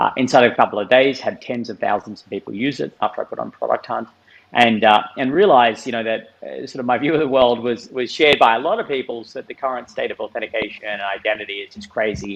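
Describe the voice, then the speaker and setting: Talking very fast with hardly any pauses, a man speaks with an Australian accent. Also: big swings in loudness. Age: 30s. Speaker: tech startup founder. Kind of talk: podcast interview.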